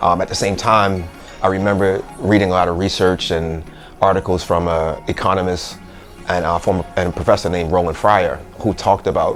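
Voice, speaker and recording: Over music in the background, a man with a very deep, low pitch talks at a very fast pace in a flat monotone. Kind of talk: interview answer.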